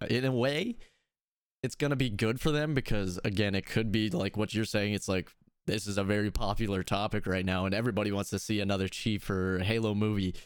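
A man with an ordinary speaking voice, fairly low in pitch, at a fairly quick pace with ordinary pitch variation and very even loudness, on a very clean recording with a silent background. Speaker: podcast host. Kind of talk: casual chat about video games. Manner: casual, upbeat.

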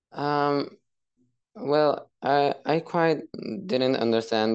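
A man talks with a Spanish accent and ordinary pitch variation. The background is quiet. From Mexico. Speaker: caller. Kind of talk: casual chat. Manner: halting.

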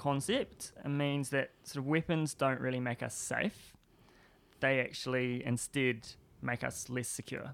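With a New Zealand accent, a man talks using ordinary pitch variation. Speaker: PhD student and disarmament activist. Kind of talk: interview. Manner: hesitant, many fillers.

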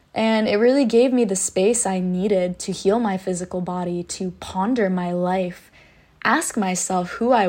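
The speaker moves at a fairly slow pace. Their pitch varies an ordinary amount. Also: woman. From US, Polish-American household. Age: 20s. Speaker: podcast host. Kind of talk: monologue, personal story.

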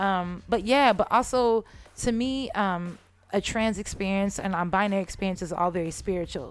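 A woman with an American accent speaks in an ordinary speaking voice at medium pitch. Her pace is moderate and her pitch variation ordinary, on a very clean recording with a silent background. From San Jose, California (Bay Area). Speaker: musician. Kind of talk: casual chat.

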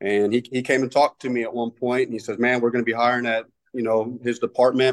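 A man speaks with a Texan accent at a medium pitch. The sound is dry and close with no echo, over a quiet background. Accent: Texan American. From Texas. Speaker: firefighter lieutenant. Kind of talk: interview. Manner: halting.

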